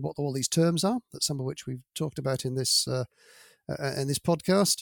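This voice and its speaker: In a British accent, a man talks at a moderate pace, the sound dry and close with no echo on a very clean recording with a silent background. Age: 60s. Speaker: manufacturing sustainability director. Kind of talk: interview.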